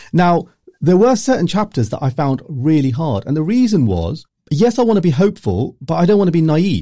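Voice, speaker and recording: A man with a dark, mellow tone, very wide pitch swings and a fairly quick pace. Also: fairly high pitch for a man. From Luton, England. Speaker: journalist and author. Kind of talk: interview.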